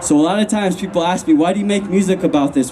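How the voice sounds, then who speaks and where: A man races through his words at a very fast pace against noticeable background noise. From Lakota reservation, US Great Plains. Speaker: hip-hop artist and activist. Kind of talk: rally speech. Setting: outdoor rally. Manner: impassioned.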